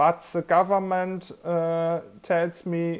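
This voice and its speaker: A woman with a German accent speaks at a very slow pace in a fairly low pitch. The recording is very clean, with a silent background. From Germany. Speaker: army veteran. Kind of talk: personal vlog talk. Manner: halting.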